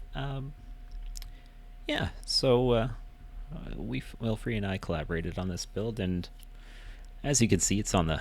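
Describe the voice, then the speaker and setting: A soft-spoken man talks at a moderate pace with lively intonation. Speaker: gaming video creator. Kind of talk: casual game walkthrough narration. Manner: quiet, soft-spoken; halting, many fillers.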